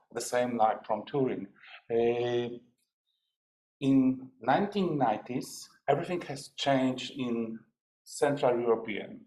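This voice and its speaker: Speaking at a very slow pace, a man leaves long, frequent pauses. His voice sits at a medium pitch with a dark, mellow tone. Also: ordinary pitch variation. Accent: Polish. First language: Polish. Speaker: academic researcher. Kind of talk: conference presentation. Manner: halting.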